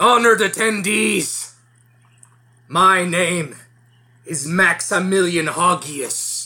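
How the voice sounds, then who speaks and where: A man's raspy, put-on character voice, high in pitch, at a very slow pace. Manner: grand, ceremonious.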